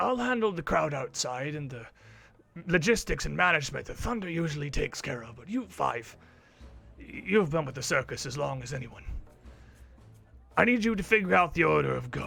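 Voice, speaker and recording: Doing a raspy put-on character voice over background music, a man speaks fairly quickly at a fairly high pitch, with very wide pitch swings, big swings in loudness, and long, frequent pauses. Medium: actual play. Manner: commanding, brisk.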